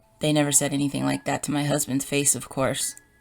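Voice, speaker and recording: A woman's voice with music in the background. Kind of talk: horror story narration.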